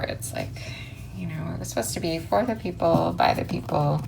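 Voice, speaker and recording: A woman's relaxed tone at a moderate pace, with audible room echo and noticeable background noise. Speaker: crafts YouTuber. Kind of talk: tutorial. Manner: casual, relaxed.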